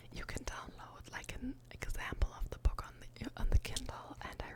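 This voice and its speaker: Whispering woman at a very slow pace, amid noticeable background noise. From Germany. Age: 20s. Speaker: ASMR creator. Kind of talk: ASMR whisper ramble about books. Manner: whispered, soft-spoken.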